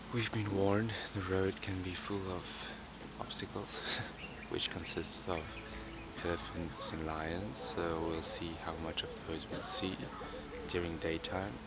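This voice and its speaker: Amid loud background noise, a man speaks at a fairly slow pace with long, frequent pauses, the sound dry with no echo. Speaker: traveller vlogger. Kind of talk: casual vlog chat. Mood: relaxed, looking forward. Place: waterside. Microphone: phone near.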